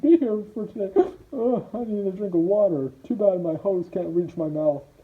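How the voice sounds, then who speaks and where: A woman's put-on character voice at medium pitch, with lively intonation and a moderate pace. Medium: audio drama. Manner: hesitant, stammering.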